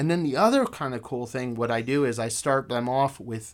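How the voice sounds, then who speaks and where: An unremarkable speaking voice from a man with an American accent, medium pitch, lively intonation and a moderate pace, in a very clean recording with a silent background. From Afghanistan and US. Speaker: game designer and teacher. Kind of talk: casual interview chat. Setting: studio.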